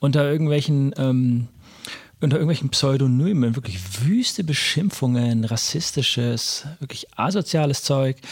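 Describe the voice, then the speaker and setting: At a moderate pace, a man's somewhat breathy voice shows ordinary pitch variation. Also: fairly high pitch for a man. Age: 30s. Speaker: podcast host. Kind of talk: interview conversation. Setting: in person, recorded in Erlangen.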